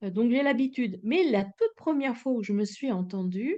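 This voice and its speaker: Against a quiet background, a woman speaks in a dark, mellow tone with lively intonation. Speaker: voice coach and therapist. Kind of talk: podcast interview.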